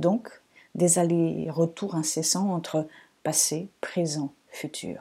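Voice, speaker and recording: The voice carries a dark, mellow tone and sounds somewhat breathy. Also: woman. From Portugal, Lisbon. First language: Portuguese (speaking French). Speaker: astrologer, podcast host. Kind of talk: reflective solo podcast monologue.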